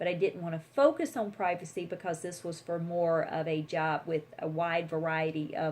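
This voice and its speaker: This woman has a fairly low-pitched voice. She talks in a Southern US accent. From US South. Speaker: attorney and career vlogger. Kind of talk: tutorial. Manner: fast; animated.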